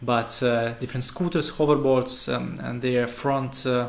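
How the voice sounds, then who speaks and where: A man with a Russian accent at medium pitch, amid noticeable background noise. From Russia, Saint Petersburg. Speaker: web developer. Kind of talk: tutorial. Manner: halting, many fillers.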